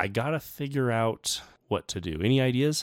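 A man talks at a fairly slow pace in an unremarkable speaking voice with ordinary pitch variation. The recording is very clean, with a silent background. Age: 30s. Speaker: science podcast host. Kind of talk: casual chat. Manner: frequent filler words.

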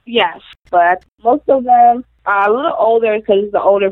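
A woman with an American accent talks at medium pitch and a moderate pace. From Florida, Palm Beach County. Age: 20s. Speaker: home health aide. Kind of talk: interview. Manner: halting.

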